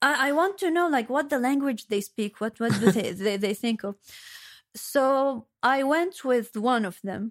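With an Arabic accent, a woman speaks at a high pitch. Her intonation is lively. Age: 30s. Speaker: journalistic editor and translator. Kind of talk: casual chat.

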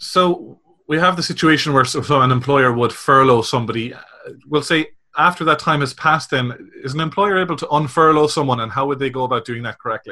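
A man with an Irish accent talks very fast in a fairly high pitch, his tone bright and sharp. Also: ordinary pitch variation. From Republic of Ireland. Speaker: podcast host. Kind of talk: interview.

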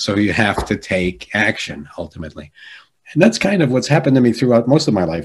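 A normal speaking voice at a fairly quick pace, with an American accent and lively intonation over a quiet background. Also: man. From Jersey City, New Jersey. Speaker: executive coach and keynote speaker. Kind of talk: interview conversation.

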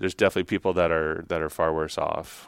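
A man with an American accent is captured on a very clean recording against a silent background. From Texas, Dallas suburbs. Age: 40s. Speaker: corporate employee. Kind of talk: interview. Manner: hesitant, many fillers.

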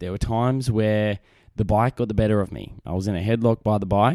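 A man with an Australian accent speaks in a dark, mellow tone on a very clean recording with a silent background. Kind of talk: casual solo monologue. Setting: home recording setup with microphone.

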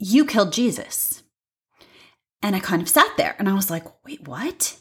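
A woman with an American accent speaks at a medium pitch. Her voice is somewhat breathy, and her pace is moderate. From US Midwest, St. Louis County, Missouri. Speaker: podcast host. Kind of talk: solo monologue podcast.

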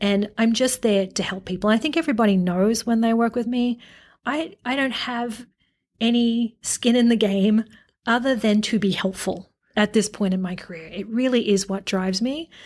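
A woman's fairly high voice in an Australian accent, moderately paced with ordinary pitch variation, on a very clean recording with a silent background. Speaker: retail executive. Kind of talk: interview.

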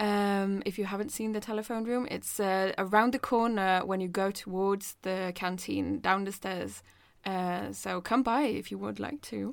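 With a Norwegian accent, a woman speaks at a medium pitch and a moderate pace with fairly even intonation, on a very clean recording with a silent background. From Norway. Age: 20s. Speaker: design student and podcast host. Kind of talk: casual chat. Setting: small room at school.

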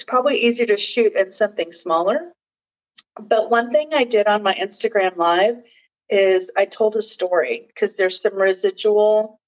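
This woman has a fairly high pitch, a moderate pace and ordinary pitch variation in an unremarkable speaking voice. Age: 50s. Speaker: wellness podcaster and video host. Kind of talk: casual product review vlog. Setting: home guest bathroom. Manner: casual with frequent fillers.

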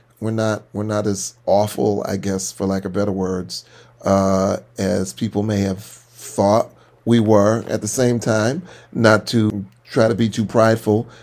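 A man talks in a normal speaking voice, fairly low in pitch. His pace is fairly slow and his intonation fairly even. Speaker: podcast co-host, pastor. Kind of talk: casual chat.

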